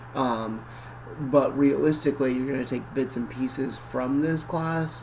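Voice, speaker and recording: A man with an American accent speaks at a medium pitch. His pace is moderate, and audible room echo surrounds him. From northern Michigan (Cadillac). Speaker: college professor. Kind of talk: lecture. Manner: casual, conversational.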